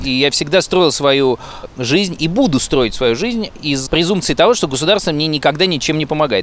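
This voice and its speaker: A man is talking, and background noise is noticeable. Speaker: friend of the hosts. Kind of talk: heated debate. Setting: outdoors.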